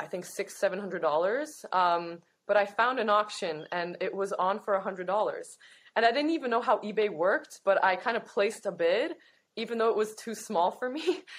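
Lively in intonation and fairly quick, a woman with a Canadian accent speaks at a medium pitch. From Toronto, Canada. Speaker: opera singer. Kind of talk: interview.

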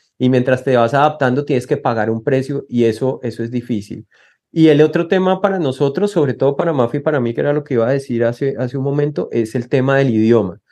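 In a dark, mellow tone, a man speaks very fast. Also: medium pitch for a man, ordinary pitch variation, quiet background. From Colombia. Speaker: asylum seeker. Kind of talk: interview. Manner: halting.

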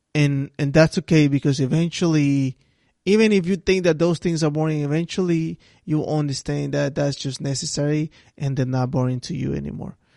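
Fairly high in pitch, the man's voice has a dark, mellow tone and a non-native accent. He talks at a fairly quick pace, and the sound is dry and close with no echo. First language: not English. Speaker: solo podcast host. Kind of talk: motivational monologue. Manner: repetitive, halting restarts; casual conversational.

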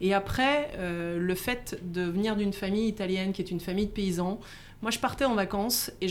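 Fairly even intonation from a woman at a medium pitch and moderate pace. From France, Haute-Savoie. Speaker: startup CEO. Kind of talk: interview. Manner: halting.

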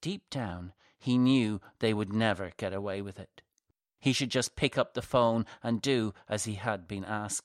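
Quiet background, with someone reading aloud in a natural voice

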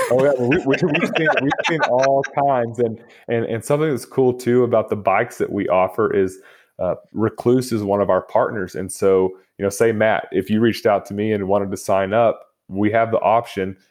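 A man with a Texan accent, medium pitch, ordinary pitch variation, and a moderate pace over a quiet background. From Texas (Lubbock). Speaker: motorcycle tour guide and action photographer. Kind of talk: interview, casual chat.

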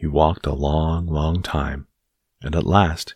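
Very slowly and in a soothing, gentle tone, a somewhat breathy man speaks with a dry, close sound with no echo on a very clean recording with a silent background. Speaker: bedtime story narrator. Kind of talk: bedtime story narration, reading aloud a children's tale to help listeners fall asleep. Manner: slow, soft, soothing and gentle; calm, steady, lulling storyteller pacing.

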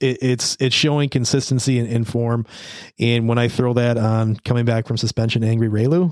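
A man speaks at a fairly quick pace in an unremarkable speaking voice. His pitch is medium and his loudness very even. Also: fairly even intonation. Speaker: podcast host. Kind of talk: casual banter, horse racing handicapping. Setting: studio.

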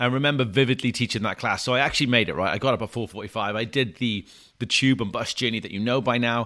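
A man speaks at a very fast pace with a Welsh accent and a bright, sharp tone, on a very clean recording with a silent background. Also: medium pitch for a man, ordinary pitch variation. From Wales, small town. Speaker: personal trainer and podcast host. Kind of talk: storytelling monologue.

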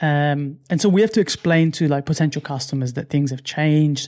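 Moderate-paced male speech, fairly high in pitch with normal pitch movement, on a very clean recording against a silent background. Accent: Italian. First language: Italian. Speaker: UI/UX designer. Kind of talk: casual interview.

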